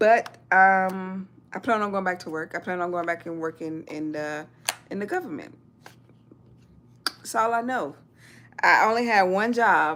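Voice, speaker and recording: A woman with a Southern US accent at a medium pitch, ordinary pitch variation, a fairly slow pace and long, frequent pauses. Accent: Southern US (Georgia). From US South. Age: 40s. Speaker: military veteran and YouTuber. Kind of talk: livestream chat. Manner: halting.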